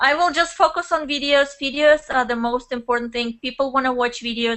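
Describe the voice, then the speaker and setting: In a Russian accent, the speaker goes at a fairly quick pace with ordinary pitch variation. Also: woman, high pitch for a woman. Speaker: network marketer and blogger. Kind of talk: interview. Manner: animated.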